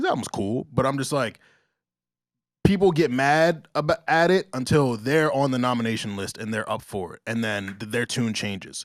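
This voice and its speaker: Speaking in a normal speaking voice, a man with an American accent keeps a moderate pace and medium pitch, with lively intonation. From US Northeast (Long Island, New York). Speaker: podcast host. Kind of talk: casual chat.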